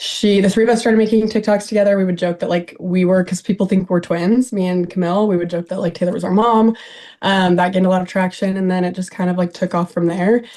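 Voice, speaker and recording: A woman speaks at a very fast pace with an American accent. Her medium pitch carries a dark, mellow tone and monotone, flat intonation. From Idaho, US. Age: 20s. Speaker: reality TV personality. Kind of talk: casual interview chat. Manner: halting, many fillers.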